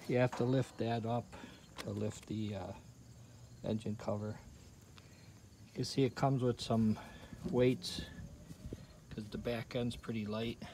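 The voice is somewhat breathy and dark, mellow in tone, with fairly even intonation at a fairly slow pace and long, frequent pauses. The sound is dry with no echo, over light background noise. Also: man. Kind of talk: casual show-and-tell commentary. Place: garden. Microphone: phone near.

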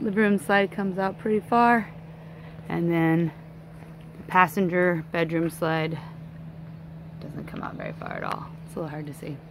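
A woman speaks at a fairly low pitch with fairly even intonation. The sound is dry with no echo, and background noise is noticeable. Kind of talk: casual vlog tour narration. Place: open country. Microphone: phone near.

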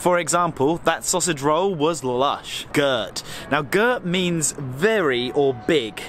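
A man speaks at a very slow pace with lively intonation, the sound dry with no echo and light background noise behind him. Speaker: travel vlogger. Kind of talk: casual vlog chat. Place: street. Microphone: phone near.

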